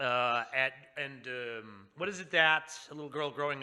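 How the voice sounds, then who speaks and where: A man speaks at a moderate pace with an American accent, his pitch medium and its variation ordinary. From Maine, US. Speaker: podcast host. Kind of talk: interview. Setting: video call from home.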